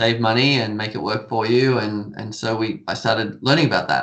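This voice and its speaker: A man talks in an Australian accent. His intonation stays fairly even. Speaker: stock trading educator. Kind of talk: podcast interview.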